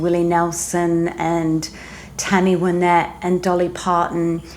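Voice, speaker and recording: A woman with an Australian accent speaks very slowly at a medium pitch. Room echo is audible and background noise is noticeable. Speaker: singer-songwriter and former newsreader. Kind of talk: casual interview chat.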